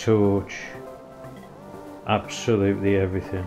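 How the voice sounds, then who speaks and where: Music plays in the background as a man with a British accent speaks very slowly at a fairly low pitch, keeping his intonation fairly even. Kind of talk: casual talk to camera.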